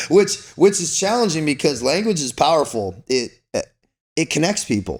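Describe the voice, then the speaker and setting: At a moderate pace, the voice carries a Californian accent, vocal fry and very wide pitch swings. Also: man, fairly high pitch for a man. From Southern California. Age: 40s. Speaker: former Navy SEAL and Foreign Legionnaire. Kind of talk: podcast interview. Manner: casual, slangy; talkative.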